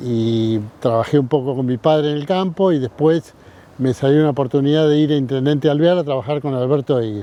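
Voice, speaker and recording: A Rioplatense accent with ordinary pitch variation. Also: man. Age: 60s. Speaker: veterinarian. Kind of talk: interview. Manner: halting, many fillers.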